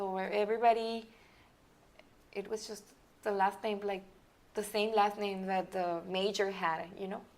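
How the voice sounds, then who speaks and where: A woman with a Mexican accent talks with fairly even intonation. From Mexican border region, Nuevo Laredo side. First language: Spanish. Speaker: business consultant and company founder. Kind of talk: interview. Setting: podcast recording.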